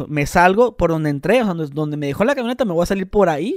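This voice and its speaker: A man with a high pitch is heard in a dry sound with no echo over a quiet background. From Mexicali, Baja California, Mexico; Baja California, Mexico. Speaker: podcast co-host. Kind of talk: casual chat. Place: studio. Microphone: studio mic.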